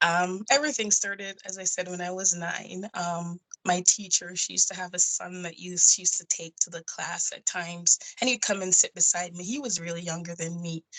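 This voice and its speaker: Speaking fairly quickly with hardly any pauses, a woman with a Jamaican accent uses a fairly low pitch and fairly even intonation while her loudness swings widely. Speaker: nurse and indie author. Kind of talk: interview.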